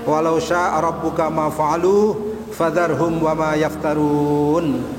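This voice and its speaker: A high-pitched man speaks against noticeable background noise. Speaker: Islamic preacher. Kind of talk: Islamic sermon / religious lecture.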